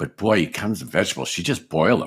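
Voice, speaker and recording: With an American accent and vocal fry, a man talks with lively intonation on a very clean recording with a silent background. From Erie, Pennsylvania (US). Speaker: sitcom writer and actor. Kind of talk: casual interview chat.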